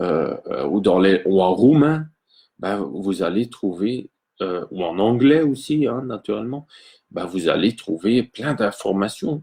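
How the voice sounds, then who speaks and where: With a dark, mellow tone and fairly low pitch, a man speaks very slowly. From Belgium. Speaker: electroculture gardener and teacher. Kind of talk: live stream talk. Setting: live video stream. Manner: hesitant, many fillers and repetitions.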